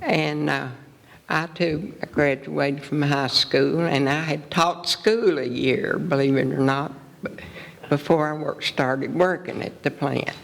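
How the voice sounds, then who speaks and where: With an Appalachian accent, a woman speaks at a very deep, low pitch with ordinary pitch variation. Her pace is fairly slow. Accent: Appalachian Southern US. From East Tennessee. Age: 80s+. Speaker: retired teacher and wartime plant worker. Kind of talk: public interview. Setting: stage with audience.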